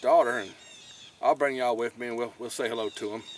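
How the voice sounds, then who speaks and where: Ordinary pitch variation in a dry recording with no echo and light background noise. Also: man. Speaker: fishing vlogger. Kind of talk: casual vlog chat. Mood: relaxed, joking. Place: boat. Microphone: phone near.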